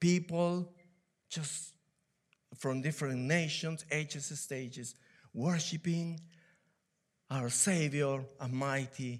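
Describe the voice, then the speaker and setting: A man with a Peruvian accent speaks at a very slow pace, with ordinary pitch variation. Long, frequent pauses run through his speech. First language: Spanish. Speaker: church elder and preacher. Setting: church. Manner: halting, with fillers.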